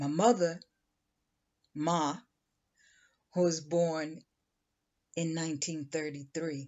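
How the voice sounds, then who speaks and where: Very deep and low-pitched, a woman with an American accent talks at a very slow pace, with fairly even intonation and long, frequent pauses. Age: 60s. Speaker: channel creator. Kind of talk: personal monologue. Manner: reflective.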